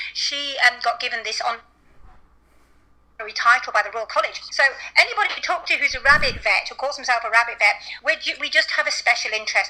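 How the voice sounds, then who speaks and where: With a British accent, the speaker uses ordinary pitch variation over noticeable background noise. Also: woman. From England. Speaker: veterinarian. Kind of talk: interview.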